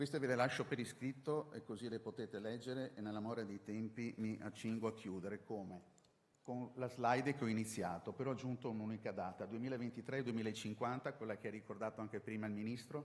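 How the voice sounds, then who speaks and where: Very fast in pace, the speech keeps a fairly even intonation. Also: man, medium pitch for a man. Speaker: city official. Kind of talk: conference presentation. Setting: conference with slides.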